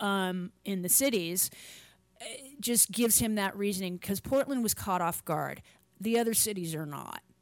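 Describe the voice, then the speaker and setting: A woman talks at a moderate pace. It is a normal speaking voice. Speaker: podcast host. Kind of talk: casual chat. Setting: video call.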